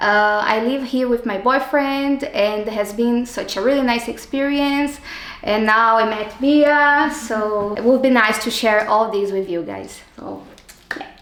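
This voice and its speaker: The speech moves at a fairly slow pace with ordinary pitch variation, accompanied by noticeable background noise and audible room echo. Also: woman. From Brazil, Rio de Janeiro suburbs. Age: 30s. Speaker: civil engineer, master's student. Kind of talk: interview. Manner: halting.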